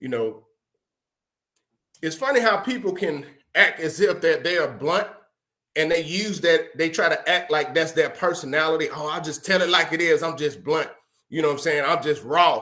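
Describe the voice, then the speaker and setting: A man talks loudly at a moderate pace, his pitch fairly high with ordinary variation. His tone is bright and sharp, and he takes long, frequent pauses. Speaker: podcast host. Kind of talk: motivational talk.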